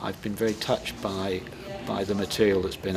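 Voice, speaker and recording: A man talks at a fairly quick pace with fairly even intonation, and there is noticeable background noise. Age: 60s. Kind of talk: interview.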